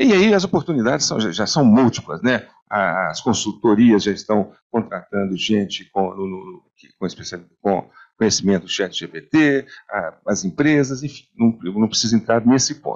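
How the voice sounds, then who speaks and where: A man's fairly low, normal speaking voice against a quiet background. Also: moderate pace. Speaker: computer science professor. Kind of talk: panel talk. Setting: stage with audience. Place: meeting room.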